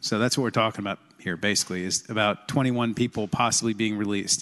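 A man with a fairly low voice talks at a moderate pace with fairly even intonation over a quiet background. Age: 40s. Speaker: state senator. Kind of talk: legislative floor debate. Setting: legislative chamber. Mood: calm, persuasive. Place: hall.

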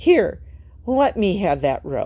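Using a put-on character voice, a woman speaks slowly at a fairly low pitch, her dark, mellow tone taking big pitch swings and carrying a slightly husky edge.

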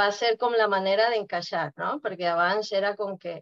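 This is a woman speaking. Her pace is fairly slow. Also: quiet background. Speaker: participant sharing experience; guest. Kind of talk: personal testimony. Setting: video call. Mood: relaxed, reflective. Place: home room. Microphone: webcam.

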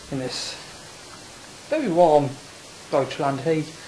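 A man mumbles as he talks. His pitch sits fairly high. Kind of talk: casual video diary to camera. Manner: mumbling.

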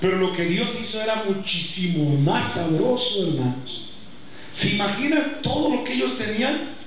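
Strong room echo and light background noise surround a man's voice. He speaks at a high pitch with very wide pitch swings. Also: fairly slow pace. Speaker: pastor. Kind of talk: sermon. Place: church.

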